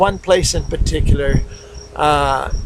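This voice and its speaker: A man keeps a moderate pace while noticeable background noise runs behind him. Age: 60s. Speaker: missionary preacher. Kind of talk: recorded video message. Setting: outdoors in a backyard. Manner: hesitant, many fillers.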